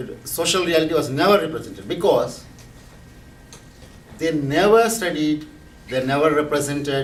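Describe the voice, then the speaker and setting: Against noticeable background noise and audible room echo, a man speaks at a fairly high pitch with ordinary pitch variation. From India. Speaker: professor and activist. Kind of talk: lecture. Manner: halting, with frequent restarts and fillers.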